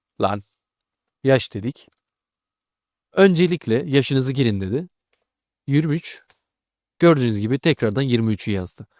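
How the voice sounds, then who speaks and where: Dry and close with no echo, a man's medium-pitched voice moves very slowly with lively intonation and long, frequent pauses. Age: 20s. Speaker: programming tutor. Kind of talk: tutorial. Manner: casual.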